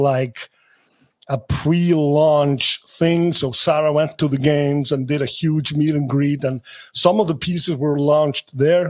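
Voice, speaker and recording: Speaking with an Icelandic accent, a man talks at a fairly slow pace with a fairly high pitch and ordinary pitch variation. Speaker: sports agent. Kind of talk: interview.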